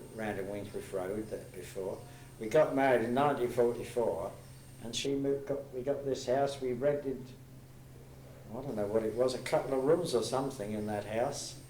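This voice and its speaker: Audible room echo and noticeable background noise surround the recording. A man talks at a moderate pace with a medium pitch and ordinary pitch variation. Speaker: war veteran, football supporter. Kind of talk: casual chat. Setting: reminiscence group meeting.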